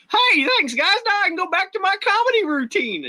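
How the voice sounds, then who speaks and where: An extremely high-pitched, put-on character voice at a fairly quick pace. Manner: comedic.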